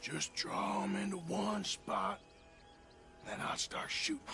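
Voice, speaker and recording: Raspy, high-pitched male put-on character voice at a fairly slow pace, over clear background noise. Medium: short film. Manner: measured, drawling.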